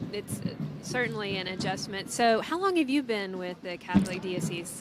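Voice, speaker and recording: Noticeable background noise runs beneath a woman talking at a medium pitch. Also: ordinary pitch variation, moderate pace. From Nashville, Tennessee. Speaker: event interview host. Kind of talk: interview.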